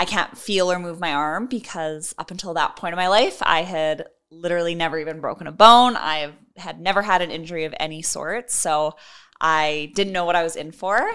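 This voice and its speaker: A woman's fairly low voice with a bright, sharp tone, a Canadian accent, ordinary pitch variation and a moderate pace, on a very clean recording with a silent background. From Edmonton, Alberta, Canada. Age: 20s. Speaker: Paralympic sprinter. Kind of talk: casual interview.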